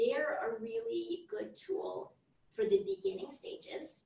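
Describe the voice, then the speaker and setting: This woman speaks with an American accent. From US, Florida. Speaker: accountant and mother. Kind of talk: tutorial.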